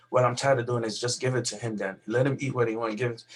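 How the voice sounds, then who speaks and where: A man's very fast, flat, monotone delivery at a medium pitch, with noticeable background noise. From Nigeria. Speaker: pediatrician. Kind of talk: interview. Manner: halting.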